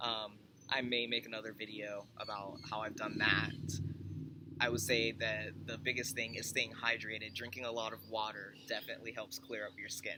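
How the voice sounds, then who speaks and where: A man's medium-pitched voice with monotone, flat intonation, amid noticeable background noise. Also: moderate pace. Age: 30s. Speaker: vlogger. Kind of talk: personal vlog update. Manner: hesitant, many fillers.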